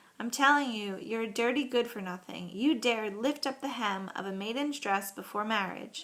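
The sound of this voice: The speaker reads in an unforced reading voice.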